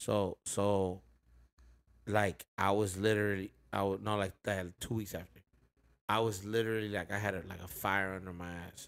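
Using a normal speaking voice, a man with an American accent talks at a fairly quick pace, his fairly low pitch held in fairly even intonation. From Inland Empire, Southern California; Southern California. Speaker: rapper; podcast host or guest. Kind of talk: casual chat. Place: home room. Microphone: studio mic.

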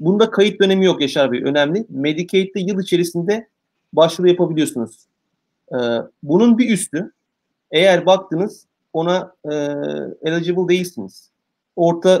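A man's high-pitched voice at a moderate pace, with ordinary pitch variation, long, frequent pauses, and a quiet background. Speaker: guest. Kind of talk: interview answer. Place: office. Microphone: video call.

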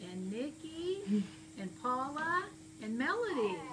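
A woman speaks in a high voice at a very slow pace. Noticeable background noise is present. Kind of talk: casual family chat. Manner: weak, frail elderly patient voice. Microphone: camera far.

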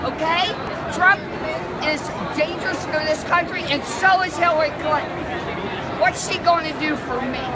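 Loud background noise fills the clip. A woman speaks over it at a fairly slow pace. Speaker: convention delegate. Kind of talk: impassioned interview answer. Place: hall. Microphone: phone near.

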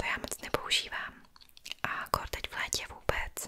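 The voice is a whisper. It moves at a fairly slow pace. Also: woman. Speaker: ASMR creator. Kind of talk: soft-spoken show-and-tell chat. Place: home room. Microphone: studio mic.

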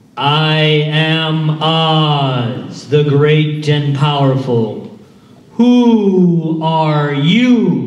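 With a slight echo, a man uses a put-on character voice, fairly high in pitch and very slow. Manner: bellowing, imposing.

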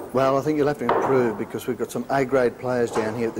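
Talking at a very fast pace with fairly even intonation, a man at medium pitch is heard over noticeable background noise. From Australia. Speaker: hotel owner. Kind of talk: interview answer in infomercial. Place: bar. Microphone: lapel.

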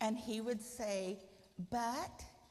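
Over light background noise, a woman speaks in a fairly high, somewhat breathy voice with ordinary pitch variation. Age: 60s. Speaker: guide dog user; guest. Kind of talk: speech. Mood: warm, reflective. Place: hall.

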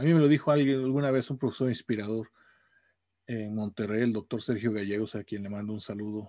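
This man has a dark, mellow tone and fairly even intonation. He talks at a fairly quick pace against a quiet background. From Mexico. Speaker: university professor. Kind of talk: casual video blog monologue. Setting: home office. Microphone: webcam.

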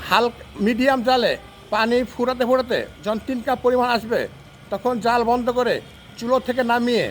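Against noticeable background noise, a man speaks in an extremely high pitch with monotone, flat intonation. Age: 60s. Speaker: health tips vlogger. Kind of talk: tutorial.

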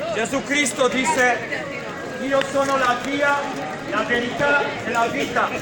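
Amid clear crowd noise and clear background noise, a man with an extremely high pitch talks at a fairly slow pace with fairly even intonation.

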